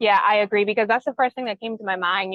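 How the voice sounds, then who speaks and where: A woman talks with a Bahamian accent. Her pitch variation is ordinary. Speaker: news show host moderating panel. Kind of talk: news discussion panel.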